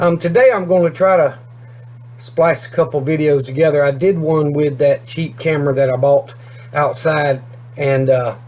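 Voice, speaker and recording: At a moderate pace, a man uses a normal speaking voice with ordinary pitch variation. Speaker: homesteading YouTuber. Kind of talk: casual vlog talk to camera. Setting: outdoors. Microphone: cheap camera, video freezes and skips words.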